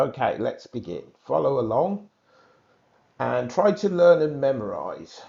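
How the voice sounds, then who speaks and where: With long, frequent pauses, a man talks at a fairly slow pace in a British accent. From England. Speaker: English exam teacher. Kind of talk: tutorial.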